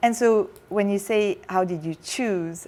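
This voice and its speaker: In a French accent, a woman speaks at a medium pitch with fairly even intonation. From France, raised partly abroad. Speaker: tech company chief executive. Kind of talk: interview.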